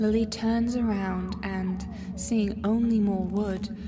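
A woman speaks at a medium pitch with monotone, flat intonation. Noticeable background noise runs behind her. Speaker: dream narrator. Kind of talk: dreamlike scripted narration.

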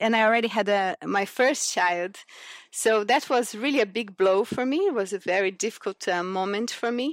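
A woman speaks in a Portuguese accent. Her pitch is fairly high, with ordinary pitch variation. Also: moderate pace. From Brazil, Cerrado region. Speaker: sustainability consultant and lecturer. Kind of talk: interview.

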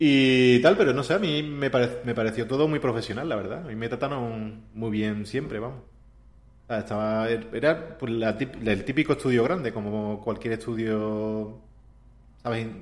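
A man speaks in a normal speaking voice at medium pitch with ordinary pitch variation. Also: moderate pace. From Andalusia, Spain (Seville). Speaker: video game character artist. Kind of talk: casual interview.

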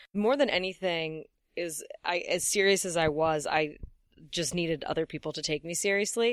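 A woman speaks in a normal speaking voice, fairly low in pitch, with ordinary pitch variation. Her pace is moderate, and the recording is very clean with a silent background. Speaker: comedian and comedy writer. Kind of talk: casual chat.

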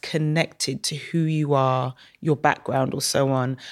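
A woman speaks in a London accent. The recording is very clean, with a silent background. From Saint Kitts, then London from age seven. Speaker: media business executive. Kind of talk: casual interview.

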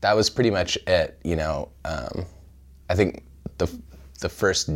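A man with a Californian accent speaks at a moderate pace. The recording is very clean, with a silent background. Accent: Californian American. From central California. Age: 30s. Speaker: fashion designer. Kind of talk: interview. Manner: hesitant, many fillers.

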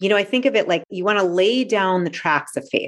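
The woman's voice has lively intonation. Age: 40s. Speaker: life coach and author. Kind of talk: interview conversation. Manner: animated.

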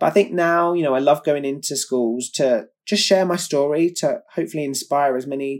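A man with a southern English accent, fairly high in pitch, at a moderate pace with ordinary pitch variation, on a very clean recording with a silent background. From England, Kent. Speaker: competitive swimmer. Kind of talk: interview.

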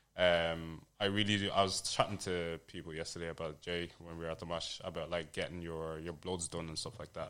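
With a London accent, a man talks fairly quickly in a very deep, low voice, his delivery flat and monotone with hardly any pauses. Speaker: fitness coach. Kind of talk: casual chat.

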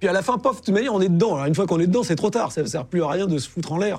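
Dark and mellow in tone, this somewhat breathy voice has lively intonation in a very clean recording with a silent background. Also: man. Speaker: war reporter. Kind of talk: interview testimony.

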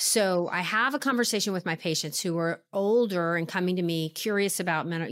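The recording is very clean and the background silent. She has a normal speaking voice with a medium pitch for a woman and ordinary pitch variation. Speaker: physician. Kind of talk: interview.

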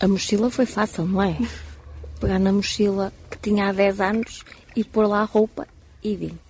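A woman speaks at a moderate pace and a medium pitch, with long, frequent pauses. Her intonation is monotone and flat, and there is noticeable background noise. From Portugal, Porto. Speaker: pilgrim. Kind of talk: live radio interview.

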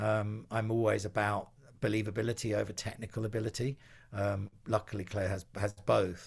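A man with an Essex accent speaks at a moderate pace in a fairly low, somewhat breathy voice, his intonation flat and monotone. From England, Essex. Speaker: music producer. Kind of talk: interview. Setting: video call.

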